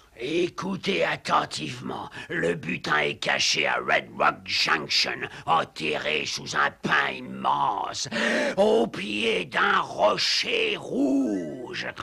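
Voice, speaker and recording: Growling in a cartoonish character voice, a man speaks at a very slow pace with a fairly low pitch, over light background noise. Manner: sly, condescending.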